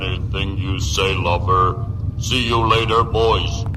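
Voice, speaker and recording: A man's put-on character voice at a medium pitch and a fairly slow pace, against loud background noise. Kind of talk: 1950s radio drama acting. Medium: machinima. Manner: stiff, blunt, threatening.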